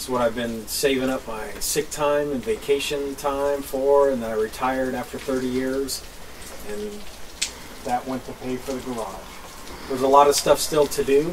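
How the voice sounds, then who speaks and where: Fairly even intonation comes at a moderate pace against light background noise. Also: man. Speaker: homesteading vlogger. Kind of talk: casual vlog chat. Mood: proud, pleased. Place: open country. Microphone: camera far.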